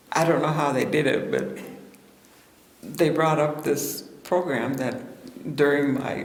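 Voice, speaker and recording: In a Pacific Northwest accent, a woman with a very deep, low voice talks at a very slow pace with ordinary pitch variation, over noticeable background noise and audible room echo. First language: Salish. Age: 70s. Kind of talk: storytelling talk with audience Q&A. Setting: seated at event with audience and microphone.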